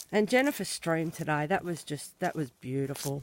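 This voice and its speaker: A voice with an Australian accent speaks at a moderate pace. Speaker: colouring channel owner, farm owner. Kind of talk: casual walking vlog tour.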